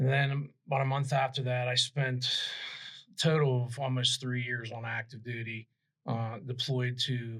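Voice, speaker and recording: At a fairly slow pace, a man talks in a flat monotone at a medium pitch. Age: 60s. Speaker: police chief and veteran. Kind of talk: interview.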